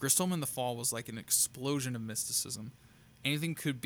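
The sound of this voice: This is an unforced reading voice. The delivery stays unforced throughout.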